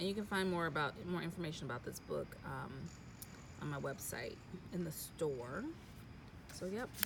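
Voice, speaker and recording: A woman speaks at a moderate pace with a fairly low pitch, lively intonation and a somewhat breathy quality. Long, frequent pauses break her speech, and audible room echo surrounds it. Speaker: life coach and author. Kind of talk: casual vlog update. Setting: outdoors by a pool.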